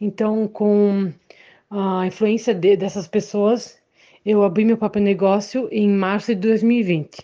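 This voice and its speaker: At a very slow pace, a woman speaks in a monotone, flat way, her medium-pitched voice dark and mellow in tone. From Santa Catarina, Brazil. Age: 20s. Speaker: young entrepreneur growing ornamental plants. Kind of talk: testimony. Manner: halting, with filler sounds.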